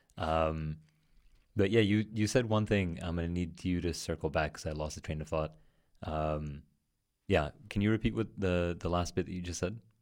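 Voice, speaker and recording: In a very clean recording with a silent background, a man with a very deep, low pitch speaks at a moderate pace, with ordinary pitch variation and long, frequent pauses. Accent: New York. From New York City. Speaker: podcast host. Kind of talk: casual conversation. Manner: hesitant, filler-heavy.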